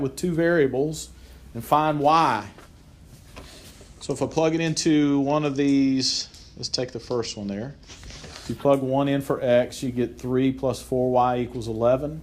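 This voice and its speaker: Audible room echo surrounds a man with a fairly high pitch who speaks at a moderate pace with ordinary pitch variation. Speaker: math teacher. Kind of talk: classroom lecture.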